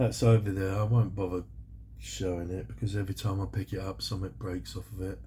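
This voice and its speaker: A very fast man's voice, very deep, low and dark, mellow, with vocal fry and a British accent. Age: 60s. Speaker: scale model builder YouTuber. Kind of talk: casual vlog talk. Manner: chatty, rambling with fillers.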